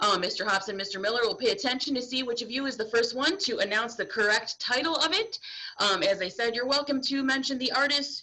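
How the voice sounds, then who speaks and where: Loud and at a high pitch, a woman speaks at a very fast pace with hardly any pauses and very wide pitch swings, against noticeable background noise. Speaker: game host at school assembly. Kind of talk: game show hosting.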